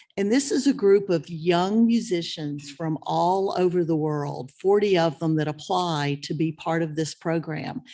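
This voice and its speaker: Against a quiet background, a woman with a fairly low pitch and a dark, mellow tone speaks at a fairly slow pace with lively intonation and hardly any pauses. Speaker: festival volunteer coordinator. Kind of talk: informational talk to a student meeting. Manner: loud; animated.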